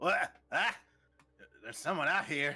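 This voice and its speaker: A man puts on a character voice, drawling at a moderate pace. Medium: actual play. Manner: folksy, drawling.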